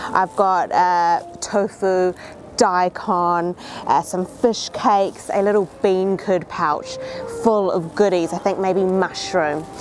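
A woman speaks very slowly in a monotone, flat intonation. Music plays behind her, and the sound is dry with no echo. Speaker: food travel host. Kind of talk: casual vlog chat. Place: street.

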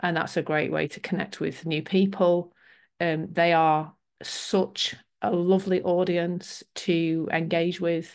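Over a quiet background, a woman talks very slowly at a fairly low pitch with monotone, flat intonation. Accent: British. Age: 50s. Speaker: business coach. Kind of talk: webinar presentation. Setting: video call. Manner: warm, chatty.

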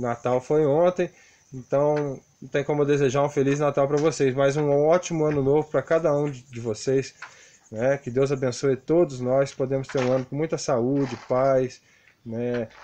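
With a dark, mellow tone, a man speaks at a moderate pace and with fairly even intonation. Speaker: construction worker vlogger. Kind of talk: casual tutorial vlog chat. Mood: friendly, warm sign-off. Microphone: phone near.

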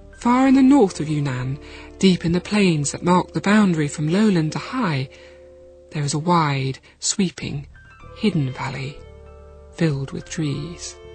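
Music sits in the background as a woman with a very deep, low pitch talks at a fairly slow pace, with lively intonation and long, frequent pauses. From United Kingdom. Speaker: storyteller. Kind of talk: children's audiobook story narration. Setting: studio.

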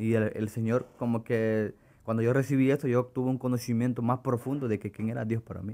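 This man's delivery moves at a fairly quick pace. The intonation stays flat and monotone. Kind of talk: religious interview. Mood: earnest, passionate religious talk. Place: studio. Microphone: studio mic.

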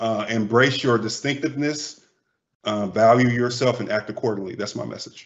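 This man has an unremarkable speaking voice with an American accent. He keeps a moderate pace and fairly even intonation. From Cincinnati, Ohio. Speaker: marketing communications manager. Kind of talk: panel discussion.

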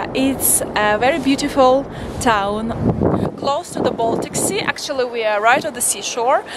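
Loud background noise surrounds a woman speaking at a high pitch with ordinary pitch variation. Her pace is fairly slow, and the sound is dry with no echo. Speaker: travel vlogger. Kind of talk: casual talk to camera. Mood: cheerful, excited. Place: street. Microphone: phone near.

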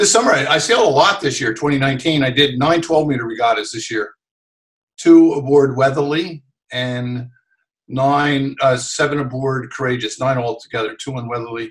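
A man with an American accent speaks somewhat breathily with ordinary pitch variation against a quiet background. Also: moderate pace. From New Jersey, US. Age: 60s. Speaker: sailor and TV sailing commentator; TV sailing commentator. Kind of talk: interview. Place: home room. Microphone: video call.

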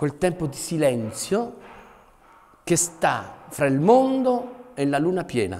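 This is a man speaking. His pitch is high. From Potenza, southern Italy; moved to Asti at 13. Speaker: theatre actor, poet and artist. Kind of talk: poetry reading. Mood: gentle, reflective. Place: home room.

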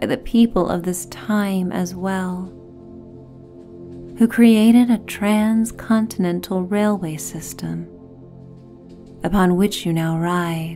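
Soft-spoken and calm, a woman speaks at a very slow pace with ordinary pitch variation as faint music plays in the background. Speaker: meditation guide. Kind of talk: sleep story; guided meditation narration. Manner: calm, soft-spoken. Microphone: studio mic.

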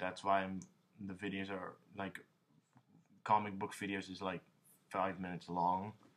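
Here a man speaks at a fairly low pitch and a moderate pace. His tone is bright and sharp. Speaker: young comic artist. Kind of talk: casual vlog chat. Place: home room. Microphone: webcam.

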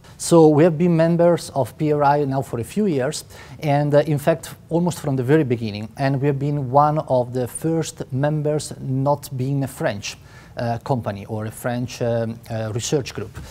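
Speaking with an Italian accent, a man has a dark, mellow tone at a fairly high pitch, with ordinary pitch variation. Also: moderate pace. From Italy. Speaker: biotech company co-founder. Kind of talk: interview. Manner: halting. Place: hall.

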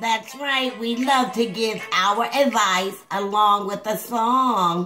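A female-sounding cartoonish character voice, fairly high-pitched, moves at a very slow pace. Clear music plays in the background. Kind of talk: comedic puppet advice show. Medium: puppet.

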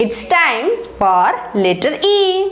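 A passage is read aloud in a natural voice.

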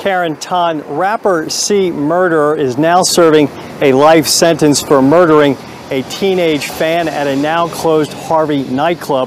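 A man at a fairly slow pace with fairly even intonation, the sound dry with no echo and light background noise. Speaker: TV news reporter. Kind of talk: news report stand-up. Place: street.

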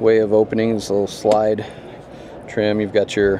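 A man talks at a fairly slow pace over light background noise. The sound is dry, with no echo. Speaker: car reviewer. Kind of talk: walkaround commentary. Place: hall. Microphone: phone near.

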